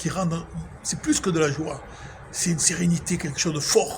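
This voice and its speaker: A man with a high pitch for a man uses fairly even intonation at a moderate pace. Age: 60s. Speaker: religious vlogger. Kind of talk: spiritual monologue. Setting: outdoors at sunset. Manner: emotional, emphatic.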